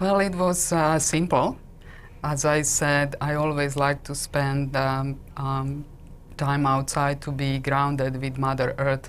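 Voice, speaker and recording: Very slow and monotone, a woman speaks with a Slovak accent. Her pitch is very deep and low, and her intonation flat. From Slovakia. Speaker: intuitive coach and energy healer. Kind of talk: interview. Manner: hesitant, many fillers.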